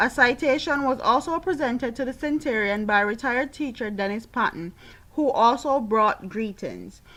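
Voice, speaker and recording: This woman's high voice has a bright, sharp tone, moving at a moderate pace with ordinary pitch variation. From Jamaica. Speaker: YouTube commentator. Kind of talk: news article read aloud.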